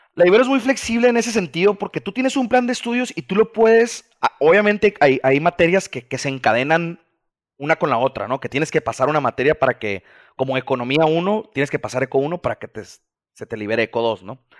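A man speaks very fast at a fairly high pitch, his pitch swinging very widely. The sound is dry and close with no echo, on a very clean recording with a silent background. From Mazatlán, Sinaloa, Mexico. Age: 20s. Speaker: business graduate working in microfinance. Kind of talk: casual interview.

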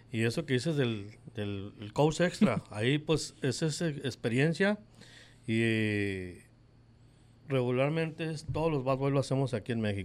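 This man has an ordinary speaking voice at medium pitch, with lively intonation. He speaks at a fairly slow pace. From Mexico, Guadalajara, Jalisco. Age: 50s. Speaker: baseball clubhouse attendant. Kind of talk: interview.

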